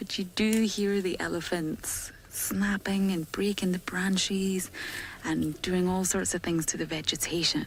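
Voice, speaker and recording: At a fairly slow pace, a woman speaks with a medium pitch. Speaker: safari guide. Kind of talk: live commentary. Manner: animated; soft-spoken.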